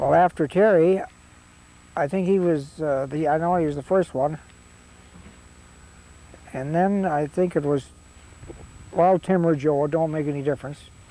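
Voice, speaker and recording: A man with an American accent talks at a moderate pace in a fairly high pitch, his tone relaxed and his intonation fairly even. He leaves long, frequent pauses, and there is noticeable background noise. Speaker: auctioneer. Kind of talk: interview answer. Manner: relaxed, reminiscing, hesitant.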